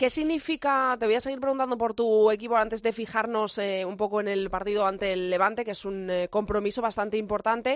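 At a fairly quick pace with hardly any pauses, a plain, everyday voice uses ordinary pitch variation on a very clean recording with a silent background. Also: woman, fairly high pitch for a woman. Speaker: radio host. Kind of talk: sports radio interview; sports radio news presentation.

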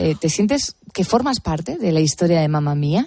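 The somewhat breathy voice keeps to a moderate pace. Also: woman. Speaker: late-night radio host. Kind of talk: radio interview. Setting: radio studio.

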